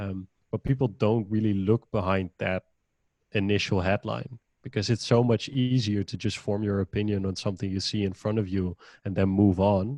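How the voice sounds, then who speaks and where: With a Dutch accent and a fairly low pitch, a man talks at a moderate pace with fairly even intonation and a dark, mellow tone, the sound dry and close with no echo over a quiet background. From Netherlands. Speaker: podcaster and innovation manager. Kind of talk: casual chat.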